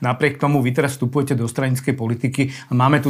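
A somewhat breathy man talks at a very fast pace. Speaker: newspaper reporter, podcast host. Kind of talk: interview.

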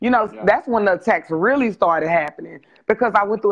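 With an American accent, a woman talks fairly quickly at a medium pitch with ordinary pitch variation, in an ordinary speaking voice. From Texas. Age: 30s. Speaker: nonprofit founder. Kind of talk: interview testimony. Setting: livestream video call.

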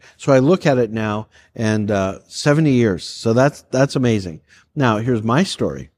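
Lively intonation carries a plain, everyday voice at a moderate pace. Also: man, medium pitch for a man. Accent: Canadian. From Canada, Calgary, Alberta. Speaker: pastor. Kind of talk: casual chat.

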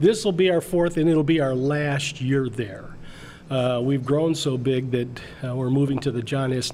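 In a normal speaking voice, a man with an American accent talks at a medium pitch and fairly slow pace with ordinary pitch variation. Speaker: comic club moderator. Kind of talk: casual interview chat.

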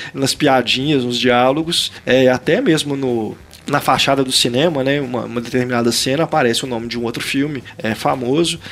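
A man's fairly even intonation is heard against noticeable background noise. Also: medium pitch for a man, moderate pace. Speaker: film critic podcast host. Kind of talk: casual chat. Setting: video call.

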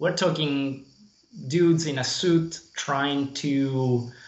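A man's voice at a fairly high pitch. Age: 30s. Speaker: indie game developer. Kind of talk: interview. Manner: halting.

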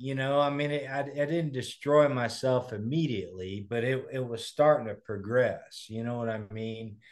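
Over a quiet background, a man with an American accent speaks at a medium pitch with ordinary pitch variation. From US Midwest (Kokomo, Indiana). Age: 40s. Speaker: recovering addict, motivational speaker. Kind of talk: interview, personal testimony.

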